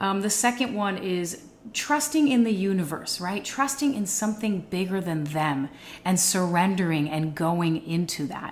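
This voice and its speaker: In a plain, everyday voice, a woman speaks at a moderate pace and medium pitch with lively intonation. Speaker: podcast host. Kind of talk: podcast interview host.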